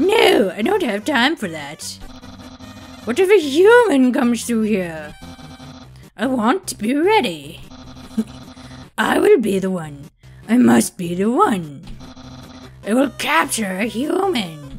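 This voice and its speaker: A man's put-on character voice at an extremely high pitch, fairly slow, with long, frequent pauses and faint background music. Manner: pompous, loud, excitable.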